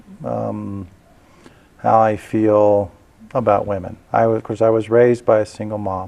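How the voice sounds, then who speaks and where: A man with an unremarkable speaking voice talks at a fairly low pitch and a moderate pace. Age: 60s. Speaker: political candidate. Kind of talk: interview.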